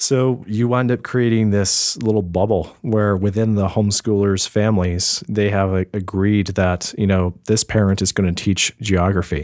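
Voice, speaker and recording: An unremarkable speaking voice from a man with an American accent, fairly low in pitch, with fairly even intonation, a moderate pace, hardly any pauses and very even loudness, on a very clean recording with a silent background. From US South. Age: 30s. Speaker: graphic designer and podcaster. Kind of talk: casual chat.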